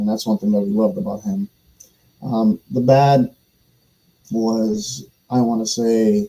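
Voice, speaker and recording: With long, frequent pauses at a very slow pace, a man speaks in a dark, mellow tone at a medium pitch with ordinary pitch variation, in a dry, close sound with no echo. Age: 40s. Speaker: soccer podcast guest, Tulsa supporter. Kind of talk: casual chat. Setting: live stream. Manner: hesitant, many fillers.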